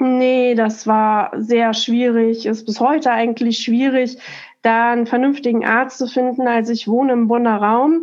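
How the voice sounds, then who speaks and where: A woman speaks with a high pitch. Her intonation is fairly even. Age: 40s. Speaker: office clerk and migraine patient. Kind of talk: interview about personal illness story. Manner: halting, many fillers.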